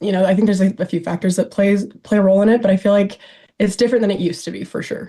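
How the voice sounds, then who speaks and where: Her voice is somewhat breathy, dark and mellow, as this woman with an American accent talks very fast with fairly even intonation. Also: medium pitch for a woman. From Idaho, US. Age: 20s. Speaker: reality TV personality. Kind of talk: casual interview chat. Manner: halting, many fillers.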